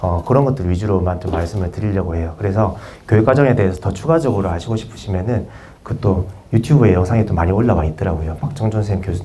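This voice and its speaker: Over noticeable background noise and audible room echo, a man talks at a very fast pace in a fairly low pitch with ordinary pitch variation. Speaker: PE teacher presenting at conference. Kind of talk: conference presentation. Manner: hesitant, many fillers.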